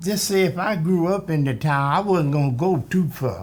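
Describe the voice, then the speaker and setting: This is a man with a high pitch. He speaks at a fairly slow pace. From US South. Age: 80s+. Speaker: oral history interviewee. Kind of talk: oral history interview.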